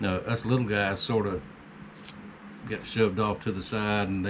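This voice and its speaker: Over noticeable background noise, a man with an American accent speaks at a moderate pace in a fairly low pitch with fairly even intonation. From US South. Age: 60s. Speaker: homesteading YouTuber and knifemaker. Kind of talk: casual vlog monologue.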